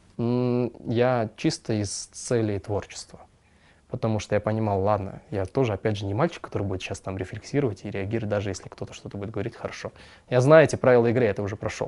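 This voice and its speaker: A man's fairly low voice races at a very fast pace, with ordinary pitch variation. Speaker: singer and composer. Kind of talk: casual interview chat.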